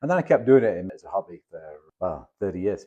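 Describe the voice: Speaking fast with a northern English accent, a man uses a low, dark and mellow voice with a slightly husky edge and big pitch swings.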